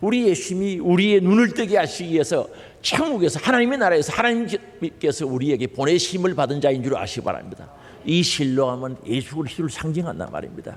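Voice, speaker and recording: Amid noticeable background noise, a man with a Gyeongsang accent speaks at a very fast pace in a high, animated voice with very wide pitch swings. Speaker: pastor. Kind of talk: sermon. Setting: church.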